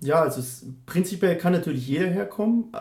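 A man with a dark, mellow tone and vocal fry speaks with very wide pitch swings. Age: 30s. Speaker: student counsellor. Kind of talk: interview. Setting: office.

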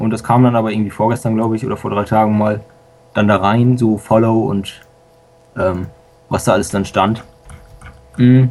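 Noticeable background noise accompanies speech at a moderate pace, delivered with monotone, flat intonation and long, frequent pauses. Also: man, fairly low pitch for a man. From Lower Saxony, Germany. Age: young. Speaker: school student and software hobbyist. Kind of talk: casual radio interview.

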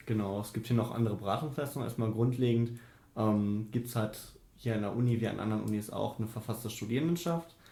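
A man with a dark, mellow tone and a medium pitch talks at a very fast pace, sounding somewhat breathy. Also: ordinary pitch variation. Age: 20s. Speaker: student union treasurer. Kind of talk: interview. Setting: office.

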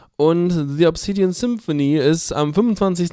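On a very clean recording with a silent background, a man speaks in a dark, mellow tone with ordinary pitch variation. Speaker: radio music show host. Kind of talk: casual radio moderation. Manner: casual, hesitant with fillers.

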